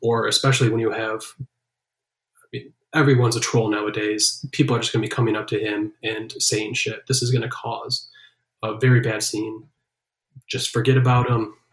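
A man speaks at a moderate pace in a medium pitch, somewhat breathy. His intonation is monotone and flat. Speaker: podcast co-host. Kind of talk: casual banter, wrestling podcast discussion. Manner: jokey, casual.

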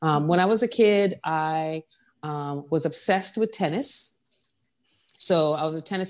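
This woman has an unremarkable speaking voice, fairly low in pitch with ordinary variation, captured on a very clean recording against a silent background. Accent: American. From US Virgin Islands, Saint John. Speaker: furniture designer. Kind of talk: interview.

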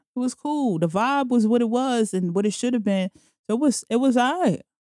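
A woman's high voice with a New York accent, dark and mellow in tone, lively in intonation, at a moderate pace with very even loudness, in a dry, close sound with no echo. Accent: New York City. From New York City, Jamaica, Queens. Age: 30s. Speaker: podcaster. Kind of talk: casual chat.

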